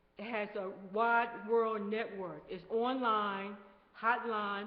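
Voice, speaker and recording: Audible room echo surrounds a woman whose fairly high voice stays monotone and flat. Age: 60s. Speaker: community committee chair. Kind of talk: committee report at community meeting.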